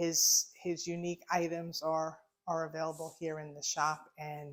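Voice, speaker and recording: A woman with a Long Island accent speaks at a fairly slow pace, her fairly low voice held in a flat monotone. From US, Long Island, New York. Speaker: shop owner. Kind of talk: casual interview. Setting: in her shop.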